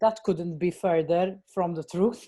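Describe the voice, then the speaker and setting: This woman speaks with a Maltese accent at a medium pitch. Her tone is dark and mellow. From Malta. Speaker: actor, writer and director. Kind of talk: interview. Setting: podcast. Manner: halting, many fillers.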